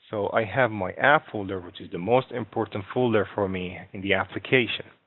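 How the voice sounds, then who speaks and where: With a non-native accent, a man speaks at a fairly quick pace and fairly low pitch, showing ordinary pitch variation and big swings in loudness. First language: not English. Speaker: software instructor. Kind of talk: tutorial. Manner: halting.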